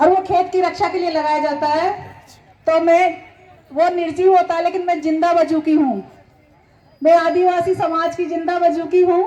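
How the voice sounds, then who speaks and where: A woman speaks at an extremely high pitch, her intonation flat and monotone. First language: Meeni (Meena dialect) (speaking Hindi). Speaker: poet. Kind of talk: speech at a gathering.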